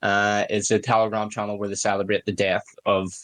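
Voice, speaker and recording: Fairly quick and monotone, a man talks with flat intonation. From Northern Ireland, Belfast. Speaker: podcaster. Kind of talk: casual chat. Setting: online audio space. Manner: halting.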